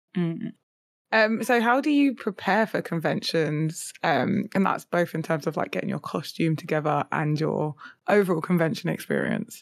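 In a plain, everyday voice, a woman speaks at a moderate pace with fairly low pitch and lively intonation on a very clean recording with a silent background. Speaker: content creator and podcast co-host. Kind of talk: casual chat.

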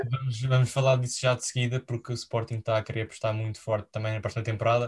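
A man's medium-pitched, somewhat breathy voice in a flat monotone, very clean recording, silent background. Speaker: football podcast host. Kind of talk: casual chat.

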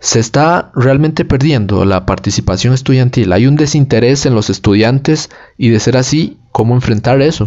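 A man with an ordinary speaking voice keeps a fairly slow pace and ordinary pitch variation. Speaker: student podcast host. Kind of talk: interview.

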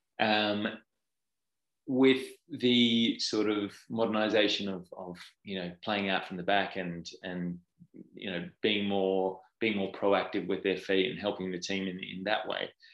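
Against a quiet background, a man with an Australian accent speaks at a fairly slow pace and a fairly low pitch, with fairly even intonation. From Australia, Perth. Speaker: football goalkeeping coach. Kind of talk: interview.

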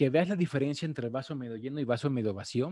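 The sound is dry and close with no echo as a man at medium pitch, with a dark, mellow tone, uses ordinary pitch variation. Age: 40s. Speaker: trading podcast host. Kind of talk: live-streamed talk on trading psychology. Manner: halting, many fillers and repetitions.

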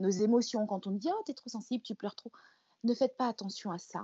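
Her voice sits at a medium pitch for a woman. It rises and falls in an ordinary way. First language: another mother tongue, not French (speaking French). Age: 40s. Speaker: image coach. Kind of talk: interview. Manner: halting, many hesitations and repeated words.

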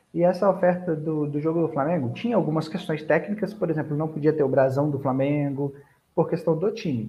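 A man with an unremarkable speaking voice talks at a fairly quick pace, his fairly high pitch showing ordinary variation. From Búzios, Rio de Janeiro state, Brazil. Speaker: digital marketing strategist. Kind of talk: casual online webinar interview.

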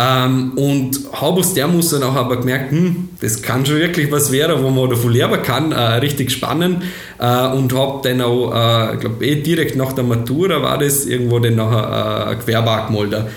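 A man talks at a moderate pace with very even loudness and ordinary pitch variation. Audible room echo and noticeable background noise surround him. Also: medium pitch for a man. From Austria, Vorarlberg. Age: 20s. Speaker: software company founder and managing director. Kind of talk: interview. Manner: hesitant, many fillers.

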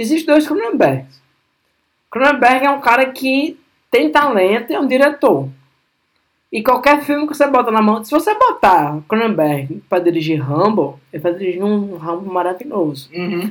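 Talking at a moderate pace, a man with a high pitch makes very wide pitch swings. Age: 30s. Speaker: podcast host. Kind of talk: casual chat.

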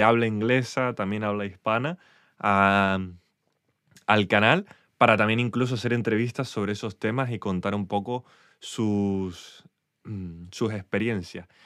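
Fairly even intonation marks this man's speech. The background is silent and the recording very clean. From Spain. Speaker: podcaster. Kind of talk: solo monologue update. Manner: hesitant.

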